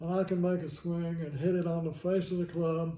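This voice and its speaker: Audible room echo surrounds a man with a high pitch and a dark, mellow tone who talks at a moderate pace in a monotone, flat intonation. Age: 80s+. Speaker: retired golf professional. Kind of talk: casual interview.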